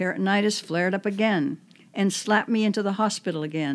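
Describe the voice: The passage is given plain reading aloud, its pitch varying in an ordinary way.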